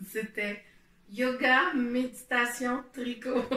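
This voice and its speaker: A woman talks at a high pitch while noticeable background noise carries on around her. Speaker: knitting podcaster and meditation guide. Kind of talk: casual explanatory talk to camera. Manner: hesitant, many fillers. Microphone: poor home recording setup.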